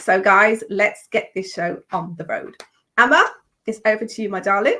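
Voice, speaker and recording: A woman with a normal speaking voice, fairly high pitch, ordinary pitch variation and a moderate pace. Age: 50s. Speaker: online show co-host. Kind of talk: casual talk show introduction.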